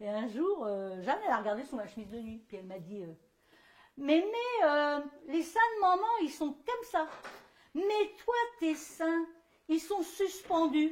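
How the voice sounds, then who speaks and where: At an extremely high pitch, a woman speaks fairly slowly with long, frequent pauses, very wide pitch swings and big swings in loudness. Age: 60s. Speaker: performer giving a gesticulated lecture. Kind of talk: stage monologue. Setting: stage with audience. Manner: animated.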